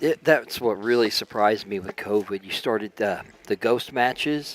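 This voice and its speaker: A man with an Oklahoma accent talks at a moderate pace with ordinary pitch variation, the sound dry and close with no echo, amid noticeable background noise. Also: medium pitch for a man. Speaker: guest commentator. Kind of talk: casual chat. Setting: live stream.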